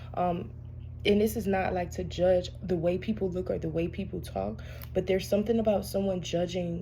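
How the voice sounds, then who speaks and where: Audible room echo surrounds this voice. A soft-spoken woman talks at a moderate pace. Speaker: tarot reader. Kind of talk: casual spiritual reading monologue. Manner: halting, many fillers.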